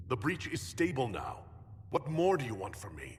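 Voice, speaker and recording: Putting on a character voice, a man speaks at a medium pitch and moderate pace, with very wide pitch swings and big swings in loudness. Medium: video game. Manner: terse, sardonic.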